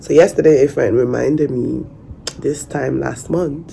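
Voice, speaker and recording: A woman with a Nigerian accent, with audible room echo and noticeable background noise. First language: Nigerian Pidgin. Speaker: vlogger. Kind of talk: personal story vlog. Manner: halting.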